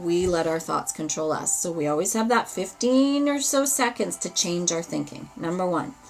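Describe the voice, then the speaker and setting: With a slight Albertan accent, a woman talks at a moderate pace and a medium pitch. Her voice makes very wide pitch swings over noticeable background noise. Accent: Albertan Canadian, slight. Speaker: tarot reader. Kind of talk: live ritual and tarot stream. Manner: animated.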